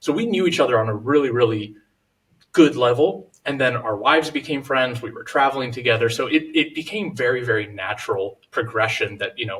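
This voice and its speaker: A man of medium pitch speaks at a fairly quick pace. His pitch variation is ordinary. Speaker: real estate investor. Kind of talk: podcast interview. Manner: fast.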